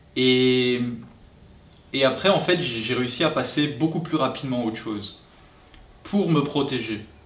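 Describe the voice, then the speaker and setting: Amid audible room echo and noticeable background noise, a man talks at a fairly slow pace with ordinary pitch variation and long, frequent pauses. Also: medium pitch for a man. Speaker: family vlogger. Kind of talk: casual chat. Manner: halting.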